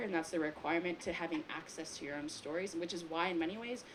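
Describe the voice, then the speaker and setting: In a normal speaking voice, a woman with an American accent talks at a fairly quick pace and a fairly low pitch, with ordinary pitch variation. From US, Taiwanese American family. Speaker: filmmaker on a panel. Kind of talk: panel discussion. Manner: casual, many fillers.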